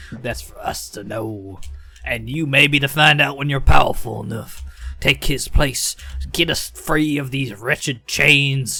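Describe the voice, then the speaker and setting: A put-on character voice from a man, medium in pitch, raised and projected, at a fairly slow pace with music in the background. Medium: actual play. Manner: casual.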